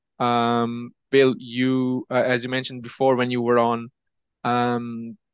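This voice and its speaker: The recording of a man with a Portuguese accent has a dry, close sound with no echo and a quiet background. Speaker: podcast host. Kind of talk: podcast interview. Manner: halting, many fillers.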